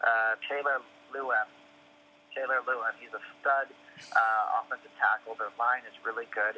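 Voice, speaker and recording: Moderate pace, long and frequent pauses, big swings in loudness, and noticeable background noise. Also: man. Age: 20s. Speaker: head of sales at a tech startup. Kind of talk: casual interview chat. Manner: halting, many fillers and repeated words.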